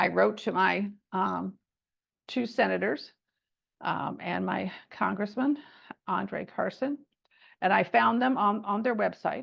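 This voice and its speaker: With an American accent, a woman speaks at a very slow pace, leaving long, frequent pauses. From US Midwest, Indiana. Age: 70s. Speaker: civic advocacy trainer. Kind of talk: training workshop. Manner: halting, many false starts.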